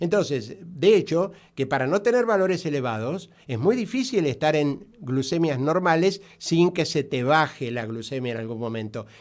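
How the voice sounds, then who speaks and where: A man's fairly high voice with very wide pitch swings, at a moderate pace with hardly any pauses, on a very clean recording with a silent background. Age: 60s. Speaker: doctor specializing in diabetes. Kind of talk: radio interview. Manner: halting, many fillers.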